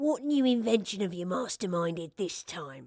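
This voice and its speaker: Putting on a character voice, a woman speaks at a medium pitch and moderate pace. Her pitch swings very widely. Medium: read story. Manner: warm, kindly.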